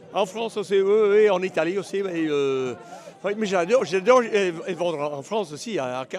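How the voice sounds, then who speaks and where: Over noticeable background noise, a man talks at a moderate pace in a high pitch with lively intonation. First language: English (speaking French). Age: 60s. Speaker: horse auctioneer. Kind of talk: interview. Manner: halting, searching for words.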